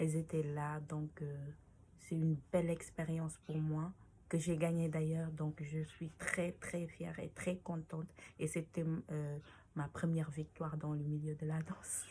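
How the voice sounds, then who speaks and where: Very deep, low female voice, dark and mellow, somewhat breathy, monotone and flat at a fairly slow pace. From Senegal. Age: 20s. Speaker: dancer. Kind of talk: interview answers to read-out questions. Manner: halting, many fillers.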